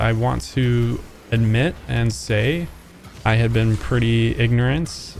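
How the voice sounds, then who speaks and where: A man at a medium pitch, over noticeable background noise. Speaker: gaming youtuber. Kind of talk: tutorial. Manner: slow.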